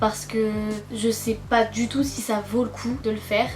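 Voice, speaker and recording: Music plays in the background as a woman speaks fairly slowly at a fairly high pitch, with audible room echo. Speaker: YouTuber and novel writer. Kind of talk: casual vlog chat; voice-over narration. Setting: sitting on a sofa at home. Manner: hesitant, many filler sounds.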